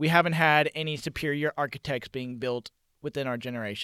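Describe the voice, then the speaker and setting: Over a very clean recording with a silent background, a man talks at a fairly quick pace with fairly even intonation. His tone is bright and sharp, and the sound is dry and close with no echo. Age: 20s. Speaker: podcast co-host. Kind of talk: casual chat. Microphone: microphone shorted out, slight echo.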